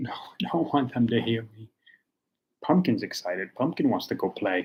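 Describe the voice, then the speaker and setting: Soft-spoken and somewhat breathy, a man with a medium pitch talks at a moderate pace, with very wide pitch swings and big swings in loudness. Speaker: tea reviewer livestreamer. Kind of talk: casual livestream tea tasting. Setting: home livestream. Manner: halting, many fillers; soft-spoken, talking quietly.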